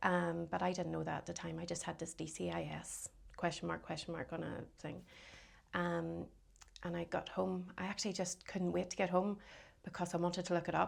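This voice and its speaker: Talking at a fairly quick pace but with long, frequent pauses, a woman speaks in a Northern Irish accent. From Northern Ireland, County Londonderry. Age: 40s. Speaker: cancer survivor. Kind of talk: casual interview.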